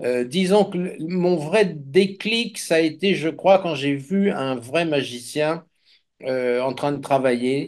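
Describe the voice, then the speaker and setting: A very slow-paced man's voice, fairly high in pitch, its rise and fall typical. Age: 70s. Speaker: magician. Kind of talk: casual chat.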